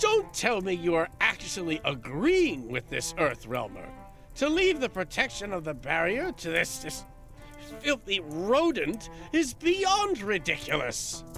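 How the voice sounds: A man's put-on character voice, high in pitch with very wide pitch swings and a fairly bright tone, at a fairly slow pace over faint music in the background.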